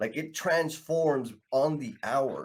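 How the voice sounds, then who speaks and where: A man talks in an energetic tone at a fairly high pitch. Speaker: podcast host. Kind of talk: casual chat. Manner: loud.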